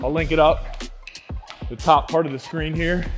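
Clear music plays behind a man who speaks at a moderate pace with ordinary pitch variation. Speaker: fitness instructor. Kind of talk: workout follow-along coaching. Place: gym. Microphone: lapel.

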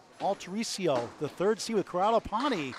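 A man talks at a moderate pace in a dry sound with no echo, though noticeable background noise is present. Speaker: play-by-play commentator. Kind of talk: sports commentary. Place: hall. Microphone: headset.

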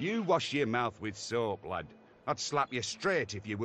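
The speaker reads plainly. It is plain reading aloud.

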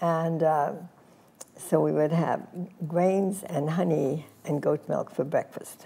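Her pitch very deep and low, a woman talks with fairly even intonation. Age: 80s+. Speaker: fitness and spa pioneer; interview guest. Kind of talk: interview answer. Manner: reminiscing, casual. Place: studio. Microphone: lapel.

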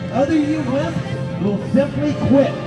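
Clear music sounds in the background. Over it, a man speaks fairly slowly. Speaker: race announcer. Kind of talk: pre-race pep speech. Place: open country. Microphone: pa.

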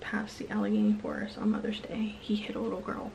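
Whispering, a woman speaks. Light noise runs in the background. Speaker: true crime storyteller. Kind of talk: true crime narration to camera. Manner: whispered. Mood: serious, subdued. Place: home room. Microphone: phone near.

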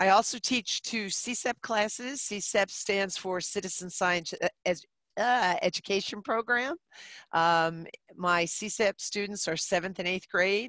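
In an American accent, a woman speaks very slowly in a bright, sharp tone with ordinary pitch variation, in a dry sound with no echo over a quiet background. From New Jersey. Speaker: middle school teacher. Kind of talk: webinar presentation. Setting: video call. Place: classroom. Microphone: headset.

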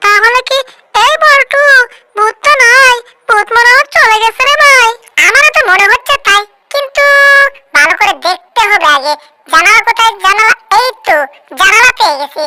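Someone puts on a character voice at an extremely high pitch. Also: moderate pace. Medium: fan dub. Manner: excitable, rustic dialect.

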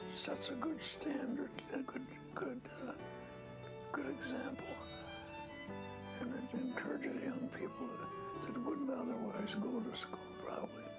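Loud music fills the background. Over it, a man speaks fairly slowly. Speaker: retired judge and former state legislator. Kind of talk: interview answer. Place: home room.

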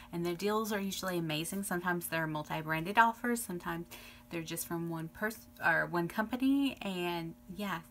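A woman with a fairly low pitch and ordinary pitch variation, at a fairly quick pace, with faint music in the background. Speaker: beauty vlogger. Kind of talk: casual vlog chat. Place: home room. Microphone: phone near.

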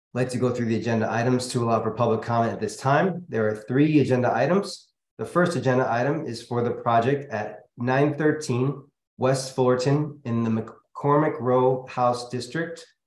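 With audible room echo, a man speaks at a moderate pace and with ordinary pitch variation. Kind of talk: formal meeting procedure reading. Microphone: video call.

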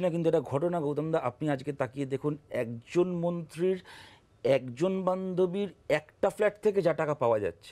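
This man's voice has a dark, mellow tone and lively intonation. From West Bengal, India. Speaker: politician. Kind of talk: televised political debate. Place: studio.

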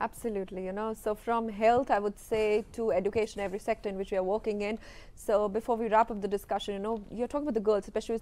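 In an Indian accent, the words pour out at a very fast pace with hardly any pauses and fairly even intonation. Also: woman. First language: Hindi. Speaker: TV news presenter. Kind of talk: interview. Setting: TV studio. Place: studio. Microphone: lapel.

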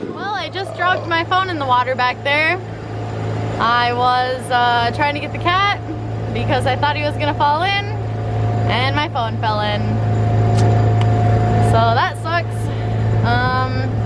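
Over loud background noise, a woman speaks at a fairly slow pace with long, frequent pauses, the sound dry with no echo. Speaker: sailing vlogger. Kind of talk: casual vlog chat. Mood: rueful, laughing at bad luck. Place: boat. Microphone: phone near.

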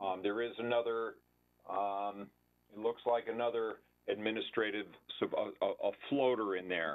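Long, frequent pauses break up a man's moderate pace, and his intonation stays fairly even. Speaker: town building department official. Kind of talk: public budget hearing. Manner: halting, many fillers. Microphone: video call.

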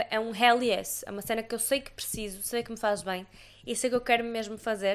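With a European Portuguese accent, a woman speaks at a moderate pace in a bright, sharp, animated tone and a fairly high pitch. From Portugal. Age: 20s. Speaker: podcast host. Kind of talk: casual chat; casual podcast monologue. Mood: relaxed, reflective. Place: home room. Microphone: studio mic.

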